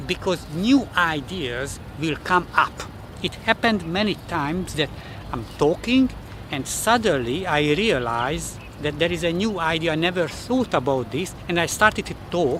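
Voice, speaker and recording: Noticeable background noise sits behind speech delivered at a moderate speed. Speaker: self-development vlogger. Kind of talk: casual vlog talk to camera. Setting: public place, outdoors. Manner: halting, repeats words.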